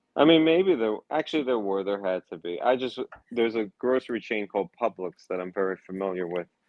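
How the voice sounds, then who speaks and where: With a Brooklyn accent, a man talks at a fairly quick pace in a fairly low pitch, his intonation lively. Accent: Brooklyn New York. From Florida. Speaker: comedian. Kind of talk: casual chat. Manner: halting.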